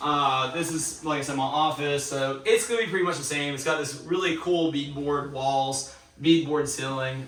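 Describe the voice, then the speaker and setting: A man speaks with a fairly high pitch and fairly even intonation. Noticeable background noise and audible room echo fill the recording. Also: moderate pace, hardly any pauses. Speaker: homeowner renovating a historic house. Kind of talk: walkthrough video tour. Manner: casual, with many fillers.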